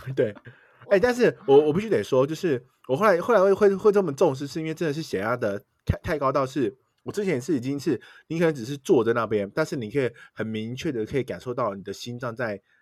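A man with a fairly high pitch talks at a very fast pace, his pitch swinging very widely. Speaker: podcast co-host. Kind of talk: casual chat.

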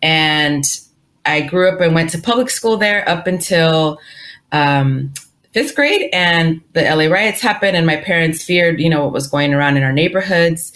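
A woman's fairly low voice in a Spanish accent, with very even loudness. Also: ordinary pitch variation, moderate pace. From Inglewood, Los Angeles, California. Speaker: financial literacy author and speaker. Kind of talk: interview conversation.

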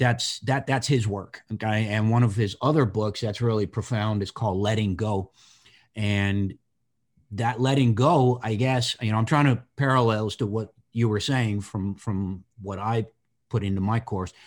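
In an unremarkable speaking voice, a man talks at a fairly low pitch and a moderate pace with fairly even intonation, recorded very cleanly against a silent background. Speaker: podcast host. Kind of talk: casual interview.

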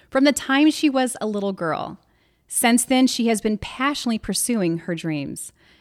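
An ordinary speaking voice, a woman with an American accent, fairly high in pitch, lively intonation at a moderate pace, in a very clean recording with a silent background and a dry, close sound with no echo. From US Midwest, Illinois. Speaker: podcast host. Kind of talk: scripted narration. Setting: studio.

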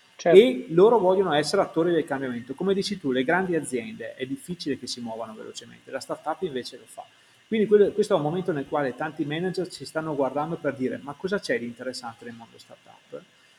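The intonation is lively and the pace very fast. Loudness swings widely. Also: man, fairly high pitch for a man. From Italy, Verona. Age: 40s. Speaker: startup founder. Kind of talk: interview.

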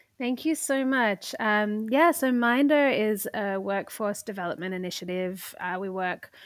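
A woman with an Australian accent at a moderate pace, ordinary pitch variation, in a very clean recording with a silent background. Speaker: parenting startup founder. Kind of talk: casual interview conversation.

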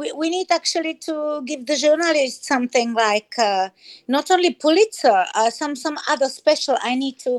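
Someone with a Spanish accent speaks at a moderate pace with lively intonation. The sound is dry and close, with no echo. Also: woman, high pitch for a woman. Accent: Spanish-sounding. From Czech Republic. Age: 60s. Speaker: hip hop artist. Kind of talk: casual chat. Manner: sing-song.

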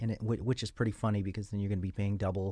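On a very clean recording with a silent background, a man speaks in a dark, mellow tone at a fairly low pitch, keeping his intonation fairly even. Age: 40s. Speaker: nutrition researcher. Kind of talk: casual chat. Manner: halting.

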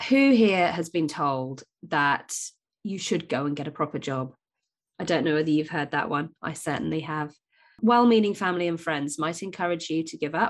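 In a quiet background, a woman with a very deep, low pitch speaks at a moderate pace with lively intonation. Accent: British. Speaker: podcast host, business coach for mothers. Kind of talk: solo podcast monologue, motivational talk.

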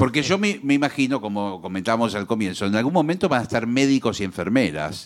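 Speaking at a very fast pace, a man with a medium pitch makes very wide pitch swings. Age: 60s. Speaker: radio co-host. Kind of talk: comic radio chat.

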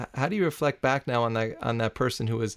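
A man with an ordinary speaking voice and medium pitch speaks at a fairly quick pace in a very clean recording with a silent background. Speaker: podcast host. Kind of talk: interview.

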